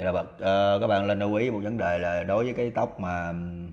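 A man with a low pitch, a fairly quick pace and fairly even intonation.

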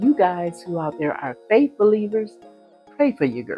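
Faint music plays in the background as a woman speaks at a moderate pace. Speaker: sewing vlogger. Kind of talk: casual vlog chat. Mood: earnest, hopeful. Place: home room. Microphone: lapel.

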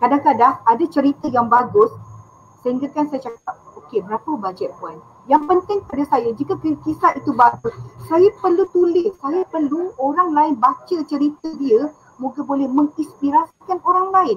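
Over light background noise, a woman with a high pitch speaks at a moderate pace with lively intonation. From Kelantan, Malaysia; Malaysia. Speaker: ghostwriter; guest ghostwriter. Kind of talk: live online interview. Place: home room. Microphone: headset.

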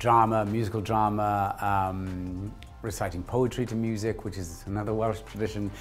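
With faint music in the background, a man of fairly low pitch talks at a moderate pace. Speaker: actor interviewee. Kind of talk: interview answer. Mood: warm, reflective. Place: studio. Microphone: lapel.

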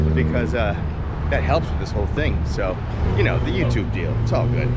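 A man talks at a moderate pace, the sound dry with no echo, amid loud background noise. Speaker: vlogger. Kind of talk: casual vlog chat. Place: street. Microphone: phone near.

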